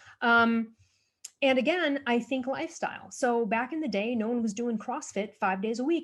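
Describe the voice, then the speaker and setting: In an animated tone, a woman speaks at a fairly high pitch with lively intonation. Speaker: author and thyroid health advocate. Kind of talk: podcast interview. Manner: fast.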